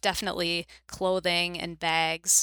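A woman with an American accent and a bright, sharp tone is heard on a very clean recording with a silent background. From US Midwest, Chicago suburbs. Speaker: book editor. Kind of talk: podcast interview.

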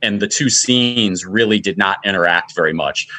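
This man has a plain, everyday voice with fairly low pitch, ordinary pitch variation and an American accent, recorded against a quiet background. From Michigan, Macomb County. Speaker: film festival organizer. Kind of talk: casual interview.

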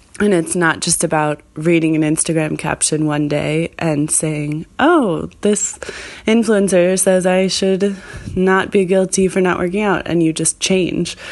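A woman talks at a fairly slow pace with a fairly low pitch. Her intonation stays fairly even against noticeable background noise. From Argentina, Buenos Aires. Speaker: listener. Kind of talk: voicemail message. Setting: recorded voice message.

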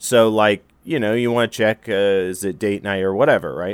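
In an ordinary speaking voice, a man talks at a moderate pace with fairly even intonation, recorded very clean against a silent background in a dry, close sound with no echo. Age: 30s. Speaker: actor and comedy writer. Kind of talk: casual chat. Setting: studio.

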